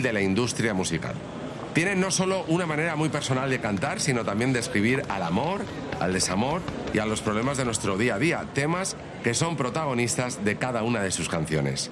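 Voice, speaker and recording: With audible room echo and noticeable background noise, a man speaks fairly quickly with lively intonation and very even loudness. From Spain, Alicante. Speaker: radio host. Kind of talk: scripted narration.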